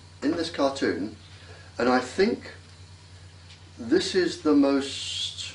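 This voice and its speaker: Over noticeable background noise, a man with an English accent speaks very slowly at a fairly high pitch, his voice making very wide pitch swings. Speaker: former navy scientist. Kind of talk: interview.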